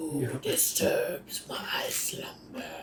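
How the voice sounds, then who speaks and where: Someone uses a put-on character voice over clear background noise. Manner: commanding, imperious.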